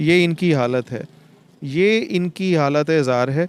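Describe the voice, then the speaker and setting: Using a normal speaking voice, a man talks with a fairly high pitch and ordinary pitch variation. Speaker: street interviewer and host. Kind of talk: emotional street report to camera.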